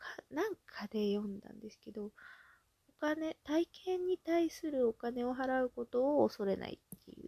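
A woman's high-pitched voice, dark and mellow in tone, at a moderate pace with big swings in loudness and a dry, close sound with no echo. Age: 30s. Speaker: solo podcaster. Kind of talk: casual monologue. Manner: relaxed, frequent filler うん.

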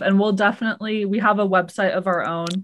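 A woman with an ordinary speaking voice and medium pitch talks at a fairly quick pace with fairly even intonation over a quiet background. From Seattle. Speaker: podcast co-host. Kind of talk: casual chat.

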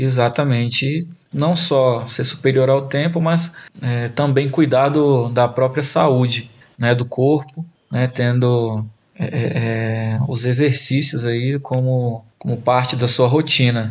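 The pace is very slow. The intonation is fairly even. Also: man, medium pitch for a man. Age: 30s. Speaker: military police officer. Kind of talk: casual interview. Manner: halting.

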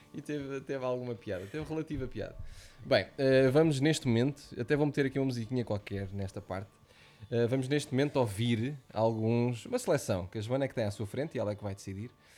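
Very fast and at medium pitch, a man with a European Portuguese accent speaks in a dark, mellow tone with ordinary pitch variation. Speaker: podcast host. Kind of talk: casual chat. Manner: animated.

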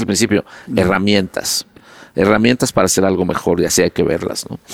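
A man with a Mexican accent talks at a fairly quick pace in an animated tone, the sound dry and close with no echo. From Mexico. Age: 50s. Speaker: advertising executive. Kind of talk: interview.

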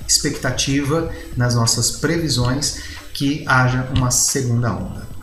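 Music plays in the background as a man speaks at a medium pitch and moderate pace, his pitch varying in an ordinary way amid audible room echo. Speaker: economics professor and trader. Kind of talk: market commentary. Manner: frequent fillers and hesitations.

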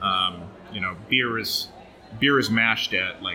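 A man's medium-pitched, unremarkable speaking voice at a moderate pace with ordinary pitch variation. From Oregon, US. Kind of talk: casual interview.

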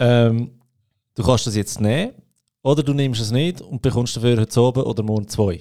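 A man's dark, mellow tone carries his words at a fairly quick pace. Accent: Swiss. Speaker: podcast host. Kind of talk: podcast interview. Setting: podcast studio.

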